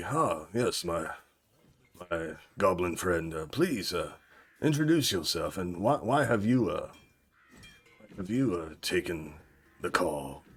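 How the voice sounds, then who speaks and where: A man puts on a character voice, very deep and low, with very wide pitch swings. He goes at a fairly slow pace with long, frequent pauses. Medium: actual play. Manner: polite, hesitant.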